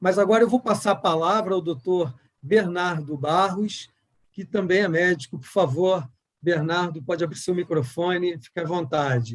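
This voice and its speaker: Big swings in loudness, a moderate pace and ordinary pitch variation in a Rio de Janeiro accent. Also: man, high pitch for a man. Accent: carioca. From Rio de Janeiro, Brazil. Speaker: board chairman, panel moderator. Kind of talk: moderated online panel.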